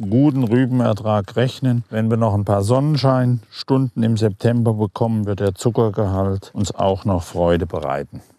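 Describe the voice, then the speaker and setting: A man speaks at a medium pitch. His voice has a dark, mellow tone. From Germany, Hesse (Ebsdorfer Grund). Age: 60s. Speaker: farmer. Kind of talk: interview explanation.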